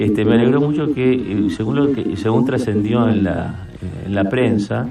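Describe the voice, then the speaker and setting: The pitch variation is ordinary. Room echo is audible. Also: man. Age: 70s. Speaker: senator. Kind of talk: radio interview. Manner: halting, with frequent fillers.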